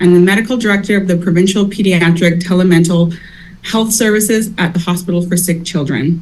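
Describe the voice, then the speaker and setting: The speaker sounds somewhat breathy, talking at a fairly quick pace with very even loudness and fairly even intonation. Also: woman, medium pitch for a woman. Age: 30s. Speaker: university accessibility advisor. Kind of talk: conference introduction. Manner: formal.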